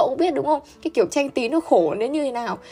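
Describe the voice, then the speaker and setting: Over noticeable background noise, a woman talks at a very fast pace in a high pitch. Her intonation is lively and her tone animated. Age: 20s. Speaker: university student. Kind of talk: casual chat.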